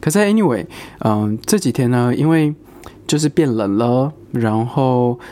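A man speaks at a fairly slow pace in a dark, mellow tone with very even loudness. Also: medium pitch for a man, lively intonation. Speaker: podcast host. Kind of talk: casual solo chat.

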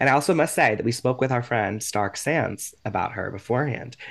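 A man with an American accent speaks at a medium pitch against a quiet background. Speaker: podcast co-host. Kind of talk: casual interview. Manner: animated.

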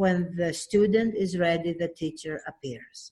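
Speaking very slowly, a woman with a Greek accent sounds somewhat breathy. Her pitch is medium, with ordinary variation. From Greece (Athens). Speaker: children's book author. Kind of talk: interview.

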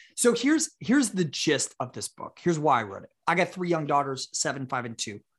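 Against a quiet background with dry, close sound and no echo, a man uses an ordinary speaking voice at a moderate pace with lively intonation. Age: 30s. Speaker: author and entrepreneur. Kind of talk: casual interview.

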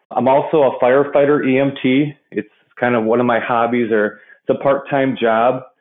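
This is an ordinary speaking voice from a man at a moderate pace and medium pitch. Loudness stays very even, and intonation is fairly even. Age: 30s. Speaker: industrial water treatment professional. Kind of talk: interview conversation.

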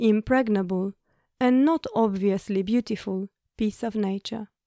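A woman with a plain, everyday voice speaks at a fairly high pitch and a fairly slow pace, her intonation fairly even, on a very clean recording with a silent background. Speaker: podcast co-host. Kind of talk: personal storytelling.

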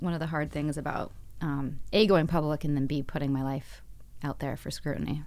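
The voice carries vocal fry. Its intonation stays fairly even, and the pace is moderate. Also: woman. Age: 40s. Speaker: actress. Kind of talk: interview. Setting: studio.

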